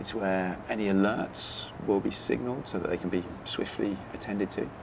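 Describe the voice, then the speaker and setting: Quiet and fairly low-pitched, a man speaks with ordinary pitch variation over noticeable background noise. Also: moderate pace. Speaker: TV presenter and engineer. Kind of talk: documentary presenting. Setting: on location at power station. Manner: quiet, hushed.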